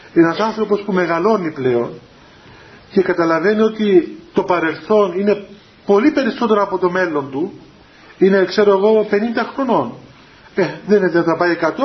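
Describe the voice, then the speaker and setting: A man with a high voice talks at a fairly slow pace with long, frequent pauses. His pitch variation is ordinary. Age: 30s. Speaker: Orthodox spiritual teacher. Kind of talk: religious talk to young people. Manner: halting.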